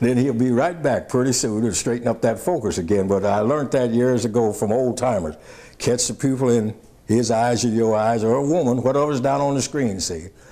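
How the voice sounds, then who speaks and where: With a dark, mellow tone, a man speaks at a fairly quick pace and varies his pitch in an ordinary way. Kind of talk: interview answer. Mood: warm, proud, humorous. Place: booth. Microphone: lapel.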